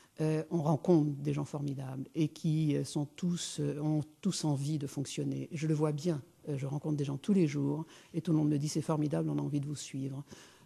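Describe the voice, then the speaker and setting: A woman's very deep, low voice, dark and mellow in tone and somewhat breathy, against a quiet background. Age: 60s. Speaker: businesswoman and speaker. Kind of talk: conference talk. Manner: hesitant, many fillers.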